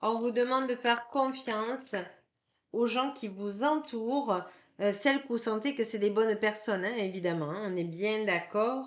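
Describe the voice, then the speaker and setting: Talking fairly slowly, the woman uses a fairly high pitch that varies in an ordinary way. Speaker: card reader and energy healer. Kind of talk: tarot card reading. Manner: hesitant, many filler sounds.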